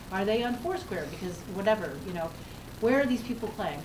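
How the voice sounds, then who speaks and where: Noticeable background noise fills the clip. The speaker is a woman. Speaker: digital marketing consultant. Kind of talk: panel discussion. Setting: live event with audience.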